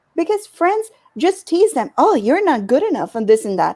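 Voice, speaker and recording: In an American accent, a woman with an extremely high pitch talks at a moderate pace in a dark, mellow tone. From US Midwest, Chicago. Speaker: life coach. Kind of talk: panel interview, describing her work.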